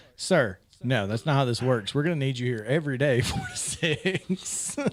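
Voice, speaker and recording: A man with a Southern US accent at medium pitch and moderate pace, ordinary pitch variation, over noticeable background noise. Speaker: sports radio show host. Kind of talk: casual sports talk show. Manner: animated.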